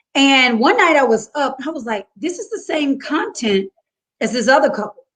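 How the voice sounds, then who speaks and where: Here a woman talks in a high voice. Her pace is moderate. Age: 30s. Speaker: confidence coach. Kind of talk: casual chat.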